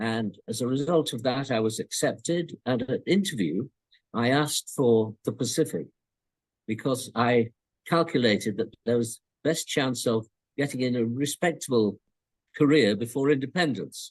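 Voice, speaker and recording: A man with a British accent at a medium pitch, moderate pace and ordinary pitch variation. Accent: older British English. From India, then England from age eleven. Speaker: former colonial agricultural officer. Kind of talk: interview.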